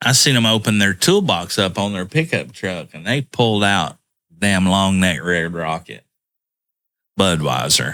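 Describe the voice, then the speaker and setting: The recording is very clean, with a silent background, as a man speaks at a fairly slow pace. His very deep, low pitch carries lively intonation and a bright, sharp tone. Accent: Southern US. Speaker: podcast co-host. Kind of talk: casual chat.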